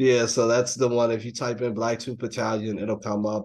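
Flat, monotone intonation marks this man's fairly quick speech, delivered with an American accent. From US South. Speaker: comic book publisher. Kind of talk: casual interview. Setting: video call. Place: home room. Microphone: video call.

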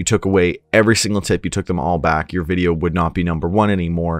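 Over a quiet background, a man speaks at a fairly quick pace with a very deep, low pitch. His intonation is fairly even, and the sound is dry with no echo. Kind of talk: tutorial. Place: home room. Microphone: studio mic.

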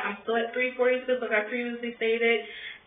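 A woman with a fairly high pitch speaks at a moderate pace, with audible room echo around her. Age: 20s. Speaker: weight-loss vlogger. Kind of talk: casual chat. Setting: home, alone at night. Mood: candid, a bit frustrated. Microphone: phone near.

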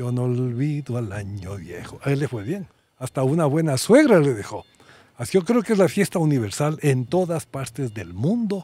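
A man at a moderate pace, very wide pitch swings, dry sound with no echo. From Ecuador, Quito; Ecuador. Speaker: doctor; podcast guest. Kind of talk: casual conversation. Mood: warm, joking. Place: open country. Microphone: studio mic.

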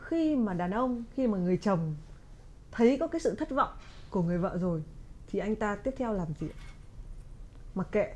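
This woman speaks at a moderate pace with a fairly high pitch. Her pitch swings very widely, and she leaves long, frequent pauses. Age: 30s. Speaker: talk show host. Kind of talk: casual chat; conversational interview talk. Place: studio.

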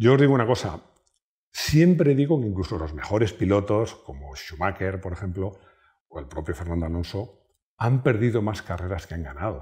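With a dark, mellow tone and a somewhat breathy, fairly low voice, a man speaks at a moderate pace, his pitch swinging very widely and his loudness shifting a lot, over a quiet background. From Spain. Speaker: YouTube car channel host. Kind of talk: casual personal talk to camera. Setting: at home. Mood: warm, proud, nostalgic. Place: home room. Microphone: lapel.

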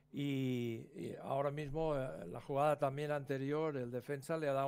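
Fairly even intonation at a moderate pace. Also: man. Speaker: football analyst, former coach. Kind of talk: co-commentary analysis. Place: home room.

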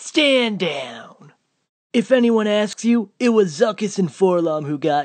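A man puts on a cartoonish character voice at a high pitch. He goes at a fairly slow pace. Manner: exasperated.

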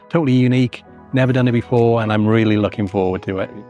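A man at a very fast pace, fairly even intonation, dry sound with no echo, and faint music in the background. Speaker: travel vlogger. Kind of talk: casual vlog chat. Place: hall. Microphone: phone near.

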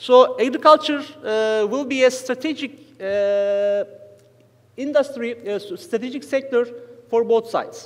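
Speaking at a fairly slow pace with a Turkish accent, a man uses an extremely high pitch and ordinary pitch variation. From Turkey. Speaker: economic researcher; conference panelist. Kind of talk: conference paper presentation. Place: hall. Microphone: podium.

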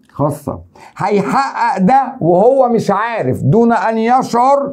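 A man speaks with an Egyptian accent against a quiet background. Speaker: teacher. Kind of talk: exam review lecture. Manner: animated. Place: studio. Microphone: lapel.

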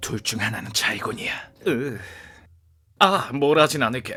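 A man uses a raspy, put-on character voice. He speaks at a medium pitch and a moderate pace. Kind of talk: dubbing practice.

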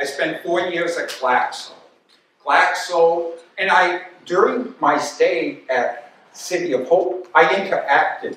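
The speaker has an American accent. Strong room echo fills the recording, with light background noise. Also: man. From Albany, New York; New York. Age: old. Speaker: retired physiology professor and former runner; guest lecturer. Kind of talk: lecture. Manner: halting. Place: hall. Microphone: camera far.

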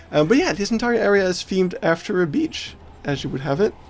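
Fairly quick speech over light background noise. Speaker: zoo visitor vlogger. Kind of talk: casual vlog commentary. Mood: cheerful, laughing often. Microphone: phone near.

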